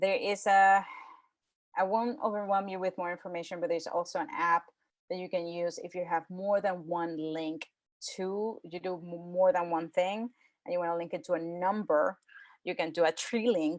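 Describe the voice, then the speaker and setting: A woman with a plain, everyday voice speaks at a moderate pace, her pitch fairly low and her intonation fairly even. The recording is very clean, and the background is silent. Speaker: photographer and presenter. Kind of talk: presentation to a club.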